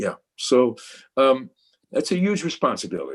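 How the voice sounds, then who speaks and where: This man has a Brooklyn accent. His pace is fairly slow. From New York, Brooklyn. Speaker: photojournalist. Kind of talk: panel discussion. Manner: halting, many repetitions.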